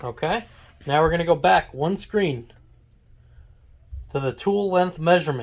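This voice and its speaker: A man's high voice at a moderate pace. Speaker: locksmith. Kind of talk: tutorial instruction. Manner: casual.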